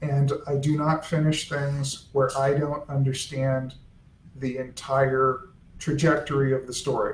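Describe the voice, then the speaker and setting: The voice is somewhat breathy and flat, almost monotone. Room echo is audible. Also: man. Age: old. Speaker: author's son and estate editor. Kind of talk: casual chat. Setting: live video stream.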